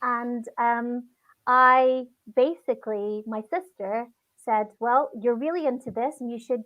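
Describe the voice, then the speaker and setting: A woman with a Scottish accent speaks at a high pitch, her loudness swinging widely. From Scotland. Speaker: children's TV actress. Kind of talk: casual interview.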